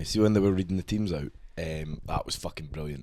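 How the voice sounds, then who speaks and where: Very fast speech in a Scottish accent with ordinary pitch variation. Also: man. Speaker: podcast host. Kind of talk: casual chat. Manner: animated.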